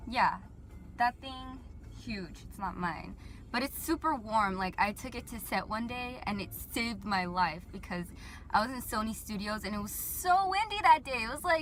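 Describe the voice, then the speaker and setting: With big swings in loudness, a woman speaks in a Southern California accent. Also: moderate pace. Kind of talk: casual talk to camera. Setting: car interior. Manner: rambling, casual, filler-heavy.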